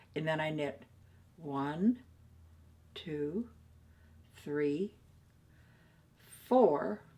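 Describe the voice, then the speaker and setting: The intonation is lively. The pace is very slow. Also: woman. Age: old. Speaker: knitter. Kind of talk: craft tutorial to camera. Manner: upbeat, chatty.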